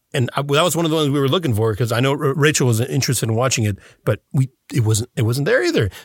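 A man's medium-pitched, somewhat breathy voice at a very fast pace, with ordinary pitch variation and very even loudness, dry and close with no echo, in a very clean recording over a silent background. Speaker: voice actor and podcast co-host. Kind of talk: casual chat. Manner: mimic, good at imitating voices.

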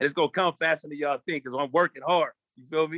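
A man talks at a very fast pace in a fairly high pitch. The sound is dry and close, with no echo. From Long Beach, California. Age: 40s. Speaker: rapper. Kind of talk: casual interview chat. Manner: animated.

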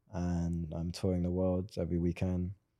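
Very deep and low, a man's voice has a dark, mellow tone. The background is quiet. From Swindon, southern England. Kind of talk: casual interview chat. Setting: in person, recording in LA. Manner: soft-spoken, reserved.

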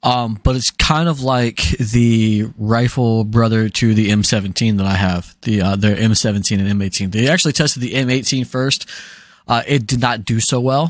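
In a very clean recording with a silent background, a man speaks with an American accent. His pitch is medium, his pace moderate and his pitch variation ordinary. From US South. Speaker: podcast co-host. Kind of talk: casual chat. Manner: animated.

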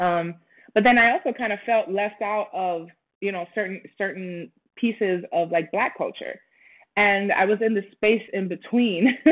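This woman has an unremarkable speaking voice at a medium pitch. Her pitch varies in an ordinary way, and she talks at a moderate pace. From Puerto Rico and Minnesota. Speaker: actress and creative. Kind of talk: interview.

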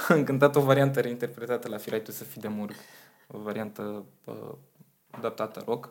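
A man talks at a moderate pace and a medium pitch, with fairly even intonation. He has a plain, everyday voice, and his loudness swings widely. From Romania, Slobozia (Ialomița). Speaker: singer and vocal coach. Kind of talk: interview.

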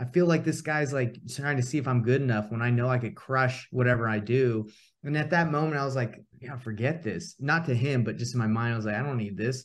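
Barely pausing, the speaker has a somewhat breathy voice with ordinary pitch variation. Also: man, medium pitch for a man, fairly quick pace. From US South, Atlanta, Georgia. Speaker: real estate investor and coach. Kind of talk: casual interview chat.

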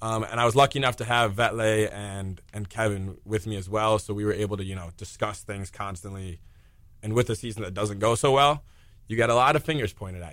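A man talks at a fairly quick pace in an ordinary speaking voice, fairly low in pitch with ordinary pitch variation. His loudness swings widely on a very clean recording with a silent background. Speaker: college soccer player. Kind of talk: casual interview chat.

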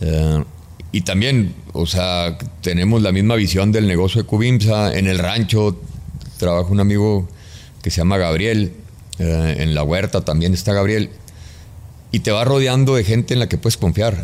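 At a fairly slow pace, a man with a very deep, low pitch speaks at a very even loudness, with ordinary pitch variation and long, frequent pauses. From Mexico, Chihuahua. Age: 50s. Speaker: construction business executive. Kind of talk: interview conversation.

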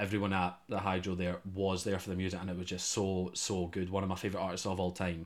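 At a very fast pace with hardly any pauses, a man with a Scottish accent talks in a very deep, low, monotone and flat voice, in a very clean recording with a silent background. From Scotland. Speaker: student radio host. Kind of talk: casual chat.

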